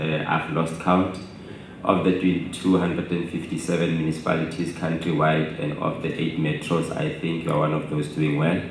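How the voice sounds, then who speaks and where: Noticeable background noise and audible room echo surround a man's voice. It is very deep and low, monotone and flat, at a moderate pace. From Northern Cape, South Africa. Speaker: workshop participant. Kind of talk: audience question at a workshop.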